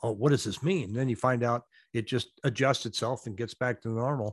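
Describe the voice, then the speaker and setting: An ordinary speaking voice from a man with an American accent comes at a fairly quick pace in a medium pitch, with ordinary pitch variation, a quiet background and a dry, close sound with no echo. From US Pacific Northwest. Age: 60s. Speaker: real estate agent and YouTuber. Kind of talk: casual interview. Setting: video call.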